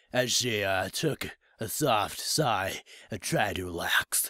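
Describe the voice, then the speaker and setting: A man speaks in a raspy, put-on character voice with very wide pitch swings. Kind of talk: comic overacting. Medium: read story. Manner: lisping, nerdy.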